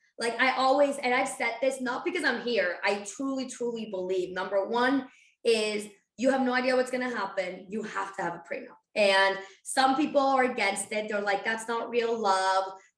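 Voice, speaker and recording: With a Spanish accent, a woman speaks at a moderate pace in a fairly high pitch with ordinary pitch variation, amid audible room echo. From Spain (Barcelona). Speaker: financial advisor. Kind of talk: podcast interview.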